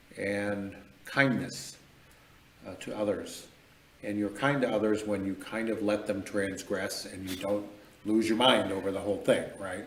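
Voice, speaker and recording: A man with an American accent talks at a fairly slow pace with a fairly low pitch, monotone, flat intonation, and long, frequent pauses. Audible room echo and noticeable background noise are present. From Michigan. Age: 60s. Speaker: mayor. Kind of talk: interview conversation.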